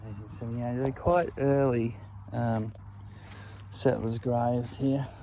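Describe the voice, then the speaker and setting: A man speaks fairly slowly at a medium pitch with fairly even intonation. Room echo is audible. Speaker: history video maker touring a cemetery. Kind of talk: walking tour commentary. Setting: outdoors in a cemetery.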